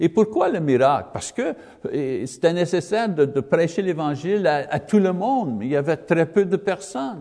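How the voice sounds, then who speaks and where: A high-pitched man with a non-native accent, dark, mellow tone, lively intonation and moderate pace. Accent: non-native French, English-speaking. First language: English (speaking French). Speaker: Bible teacher. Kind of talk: Bible lesson. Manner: halting, many hesitations.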